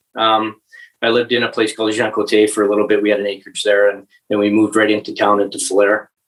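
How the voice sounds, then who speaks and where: The speaker has an Albertan accent and talks at a very fast pace. The intonation stays monotone and flat. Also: man, fairly low pitch for a man. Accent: Canadian (Alberta). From central Alberta, Canada. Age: 40s. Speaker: municipal election candidate. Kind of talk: interview. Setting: podcast recording. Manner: halting.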